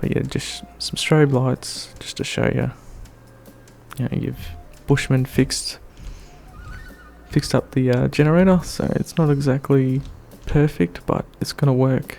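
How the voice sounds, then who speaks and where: Soft-spoken and at a fairly slow pace, a man talks with long, frequent pauses as music plays in the background. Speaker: gaming youtuber. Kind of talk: gameplay tutorial commentary. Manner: hesitant, many fillers.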